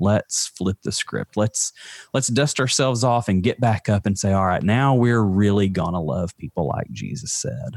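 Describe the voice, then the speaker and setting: A fairly low-pitched man with a Southern US accent and lively intonation at a moderate pace, in a dry, close sound with no echo on a very clean recording with a silent background. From Alabama. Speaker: mental health advocate. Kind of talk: casual chat.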